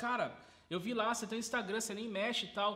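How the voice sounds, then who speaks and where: Over noticeable background noise and audible room echo, a man talks very fast in a raised, projected voice at an extremely high pitch. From Brazil, Sorocaba (São Paulo state). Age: 20s. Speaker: burger restaurant owner, entrepreneur. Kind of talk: casual interview.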